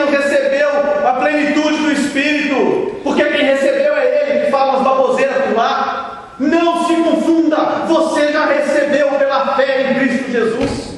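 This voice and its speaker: Amid noticeable background noise and audible room echo, a man speaks fairly slowly at an extremely high pitch with monotone, flat intonation. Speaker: pastor. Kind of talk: sermon. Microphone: poor video quality.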